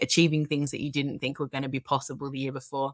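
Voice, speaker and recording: In an Australian accent, a woman speaks. Her pitch is very deep and low. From Australia, Melbourne. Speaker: tech product executive. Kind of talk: interview.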